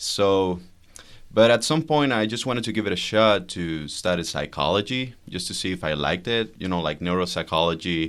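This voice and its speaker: On a very clean recording with a silent background, a man with a Spanish accent speaks at a moderate pace in a very deep, low pitch with lively intonation. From Venezuela. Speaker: psychologist, guest. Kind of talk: casual chat.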